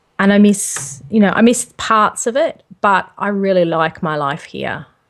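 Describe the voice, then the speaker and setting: A woman's medium-pitched voice with an Australian accent, lively intonation and a fairly slow pace. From Australia (Sydney), born in Liverpool. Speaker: home-educating parent, gaming youtuber. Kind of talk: casual interview.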